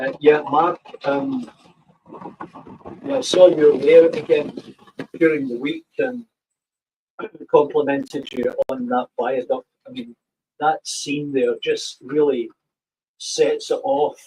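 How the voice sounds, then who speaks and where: A man speaks very slowly, with long, frequent pauses. His loudness swings widely. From Scotland, Glasgow (Partick). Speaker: model railway YouTuber. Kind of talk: casual live stream chat. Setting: live stream. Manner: hesitant, many fillers.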